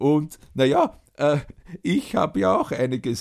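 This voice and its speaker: This man speaks at a very slow pace. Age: old. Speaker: podcast host and storyteller. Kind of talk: casual chat with grandchild and storytelling.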